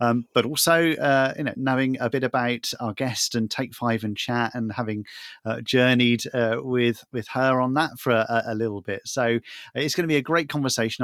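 A man talks in a normal speaking voice at medium pitch and a moderate pace, with fairly even intonation and a dry, close sound with no echo on a very clean recording with a silent background. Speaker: co-host, additional needs ministry director. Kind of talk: casual interview chat.

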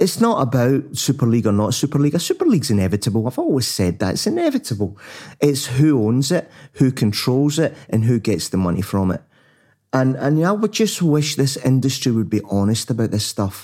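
Against a silent background on a very clean recording, a man speaks with a dark, mellow tone at a medium pitch. His pace is fairly quick and his intonation lively. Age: 60s. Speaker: podcast co-host, sports business commentator. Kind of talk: casual chat.

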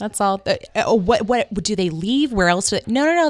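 An animated woman with an American accent talks at a fairly quick pace. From Northern California. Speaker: podcast host. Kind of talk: casual chat.

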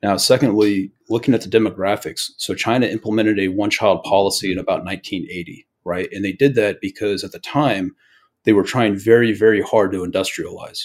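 Speaking at a fairly quick pace with an unremarkable speaking voice, a man keeps a fairly even intonation at a fairly low pitch while his loudness swings widely. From US, Eastern Oregon. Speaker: investor and military veteran. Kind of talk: interview. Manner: conversational, many fillers.

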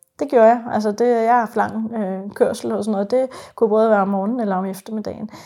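At a very fast pace, a woman with a fairly high pitch and a dark, mellow tone speaks with fairly even intonation on a very clean recording with a silent background. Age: 40s. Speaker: psychiatric nurse. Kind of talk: interview testimony. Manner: hesitant, many fillers.

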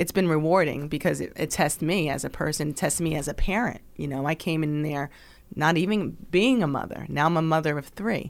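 A woman's very deep, low voice with vocal fry, fairly quick pace and ordinary pitch variation, on a very clean recording with a silent background. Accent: American. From New Jersey, Burlington Township. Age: 40s. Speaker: high school counselor. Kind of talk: interview conversation.

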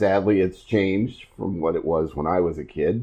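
Lively intonation at a moderate pace, in a Midwestern US accent. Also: man. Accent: US Midwest. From Iowa. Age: 50s. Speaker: podcast host. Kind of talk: casual chat.

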